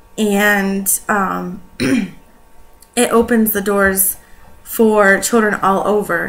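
With faint music in the background, a woman speaks with fairly even intonation. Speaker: presenter. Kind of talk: school report talk. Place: home room. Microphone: webcam.

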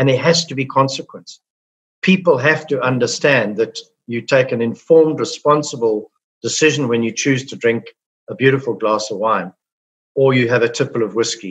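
A somewhat breathy man against a quiet background. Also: ordinary pitch variation, moderate pace. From South Africa. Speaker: business executive; guest. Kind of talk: interview. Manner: cheerful, upbeat. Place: home room. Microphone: video call.

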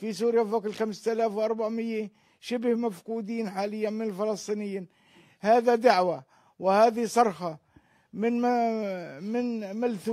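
Against a quiet background, a man with a high but dark, mellow voice speaks at a very slow pace with fairly even intonation. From West Bank, Palestine. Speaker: brother of a missing detainee. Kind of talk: interview appeal. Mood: earnest, pleading appeal. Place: home room. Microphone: handheld.

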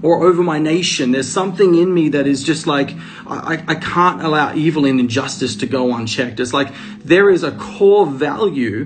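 Clear music plays in the background as a man speaks at a moderate pace with ordinary pitch variation. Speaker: preacher sharing a spiritual message. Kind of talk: sermon-like live stream talk. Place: home room. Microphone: phone near.

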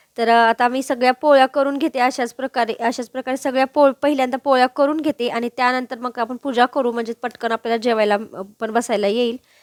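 Her voice sits high in pitch. The woman's delivery stays monotone and flat. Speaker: cooking vlogger. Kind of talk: cooking vlog narration.

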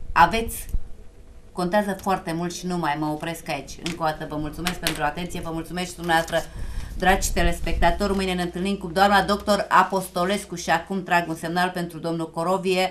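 At a fairly quick pace, a woman with a fairly low pitch speaks in a monotone, flat way over light background noise. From Romania. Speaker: TV talk show host. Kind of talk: live TV talk show. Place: studio.

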